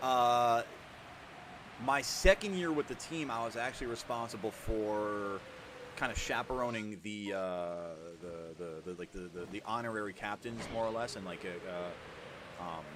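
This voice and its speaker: Amid noticeable background noise, a man with a fairly low pitch and ordinary pitch variation speaks at a moderate pace, his loudness swinging widely and his speech marked by long, frequent pauses. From New York. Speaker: gaming streamer. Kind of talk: casual chat.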